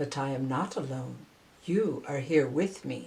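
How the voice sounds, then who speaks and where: Soft-spoken and growling, this put-on character voice sits at a low-to-middle pitch and moves at a fairly slow pace. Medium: read story. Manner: quiet, soft.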